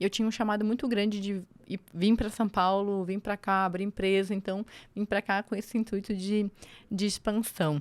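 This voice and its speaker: A woman speaks in a monotone, flat intonation. The recording is very clean with a silent background, and the sound is dry and close with no echo. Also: medium pitch for a woman, moderate pace. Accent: Florianópolis. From Santa Catarina, Brazil (Angelina, near Lages). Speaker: civil construction entrepreneur and mentor. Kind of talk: podcast interview.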